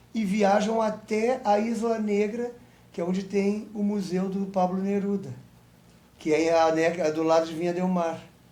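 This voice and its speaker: A man with a high, dark and mellow voice speaks at a fairly slow pace. His intonation is fairly even, and there is audible room echo. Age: 60s. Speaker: film director and actor. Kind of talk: interview.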